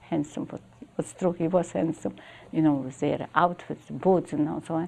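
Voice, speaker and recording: Here a woman talks with a fairly low pitch, a dark, mellow tone and vocal fry. Her pitch variation is ordinary. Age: 80s+. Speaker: Holocaust survivor. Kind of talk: interview answer. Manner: pensive, vivid storyteller.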